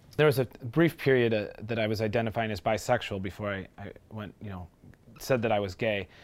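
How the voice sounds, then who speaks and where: An unremarkable speaking voice, a man with an American accent talks at a fairly quick pace and fairly low pitch, with ordinary pitch variation and big swings in loudness. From Milwaukee, Wisconsin. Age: 20s. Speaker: interviewee. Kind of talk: testimony.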